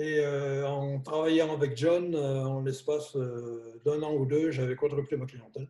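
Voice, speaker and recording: A man's fairly high-pitched, somewhat breathy voice with a dark, mellow tone, monotone, flat intonation, a fairly slow pace and hardly any pauses. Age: 70s. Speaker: chiropractor. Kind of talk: interview. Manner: hesitant, many fillers.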